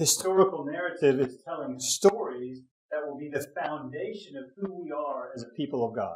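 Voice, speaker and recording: Ordinary pitch variation in a voice that is somewhat breathy. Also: man, fairly high pitch for a man. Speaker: bible teacher. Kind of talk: lecture. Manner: fast.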